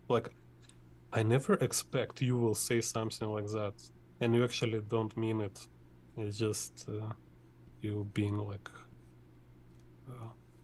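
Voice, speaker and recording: With a Russian accent, a man talks fairly slowly at a fairly low pitch, in a monotone, flat, somewhat breathy delivery with long, frequent pauses. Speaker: artist teaching drawing. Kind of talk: tutorial. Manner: halting.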